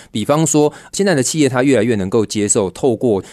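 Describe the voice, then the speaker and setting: Speaking fairly quickly, a man uses an ordinary speaking voice with lively intonation. The background is quiet. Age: 30s. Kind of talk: radio interview.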